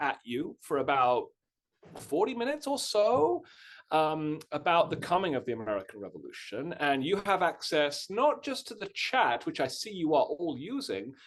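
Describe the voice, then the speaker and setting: At a moderate pace, a man with a British accent speaks at a high pitch with very wide pitch swings. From Britain. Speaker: history professor. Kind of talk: lecture. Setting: Zoom webinar. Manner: casual, many filler words.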